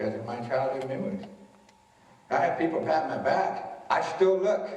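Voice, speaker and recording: Audible room echo and noticeable background noise accompany a man speaking at a fairly high pitch and a fairly slow pace. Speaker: motivational speaker on bullying. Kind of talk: school assembly talk. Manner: casual, conversational.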